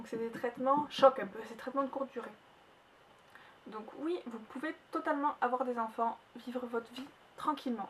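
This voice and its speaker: This woman has a high pitch, a slight southern French accent, fairly even intonation, big swings in loudness, long and frequent pauses, and noticeable background noise. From southern France. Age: 20s. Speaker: vlogger. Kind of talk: personal vlog testimony. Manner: fast.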